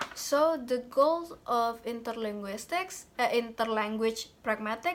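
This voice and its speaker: A woman's fairly high voice at a fairly slow pace, in a very clean recording with a silent background. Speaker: university student. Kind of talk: class presentation. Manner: halting, many fillers.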